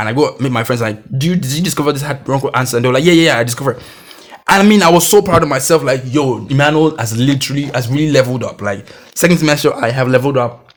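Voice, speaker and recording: The speech is very fast and animated in tone. The pitch varies in an ordinary way. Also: man. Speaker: podcast host. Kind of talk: personal storytelling.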